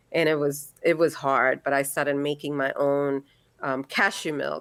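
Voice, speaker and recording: A woman speaks at a fairly slow pace in a very deep, low voice with monotone, flat intonation. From India. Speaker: holistic practitioner and physical therapist. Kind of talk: interview conversation.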